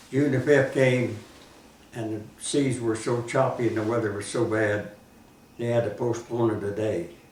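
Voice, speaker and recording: A man speaks in an American accent with fairly even intonation. There is audible room echo and noticeable background noise. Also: medium pitch for a man, moderate pace. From southern Indiana, US. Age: 90s. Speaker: war veteran. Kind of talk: oral history interview.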